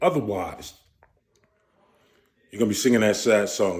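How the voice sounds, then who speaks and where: Talking at a very fast pace, a man speaks with an American accent. His pitch variation is ordinary. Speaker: commentary vlogger. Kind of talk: casual monologue vlog.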